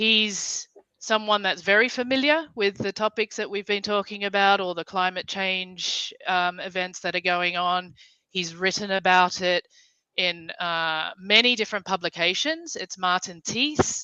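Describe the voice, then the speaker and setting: A woman with an Australian accent speaks at a fairly slow pace in a bright, sharp tone, her pitch varying in an ordinary way, and the sound is dry and close with no echo. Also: medium pitch for a woman. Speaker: livestream host. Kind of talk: casual chat.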